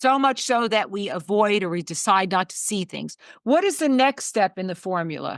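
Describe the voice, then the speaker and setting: A woman with an unremarkable speaking voice talks at a moderate pace and medium pitch, her intonation lively. The sound is dry and close with no echo, over a quiet background. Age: 60s. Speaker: talk show host. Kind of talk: interview conversation.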